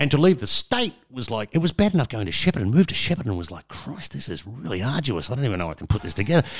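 Talking very fast with hardly any pauses, a man with an Australian accent and a medium pitch uses very wide pitch swings and vocal fry. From Melbourne, Australia. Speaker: veteran radio presenter. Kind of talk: interview conversation, storytelling.

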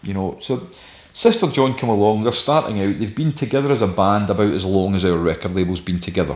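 Someone with a West of Scotland accent talks at a very fast pace, using ordinary pitch variation. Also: man, fairly low pitch for a man. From Scotland, Ayrshire (Saltcoats). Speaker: record label founder. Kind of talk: interview.

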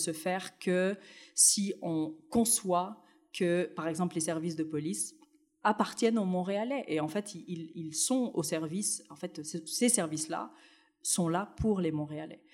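A woman draws out her words very slowly in a fairly low voice. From Tunisia, then France. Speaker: city anti-racism commissioner, researcher. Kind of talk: interview.

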